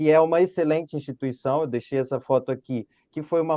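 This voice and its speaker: Recorded with a dry, close sound and no echo, a man speaks in a dark, mellow tone. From Brazil, Rio de Janeiro city. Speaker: engineering consultant and former student. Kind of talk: webinar presentation.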